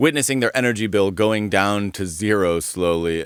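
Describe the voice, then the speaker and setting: A man's fairly low voice with a General American accent at a fairly quick pace. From Colorado. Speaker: podcast host. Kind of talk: interview.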